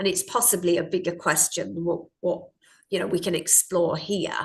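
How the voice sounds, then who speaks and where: Somewhat breathy, a woman talks in a fairly low pitch with an Australian accent. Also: ordinary pitch variation, moderate pace. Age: 60s. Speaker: parenting coach. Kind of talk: interview.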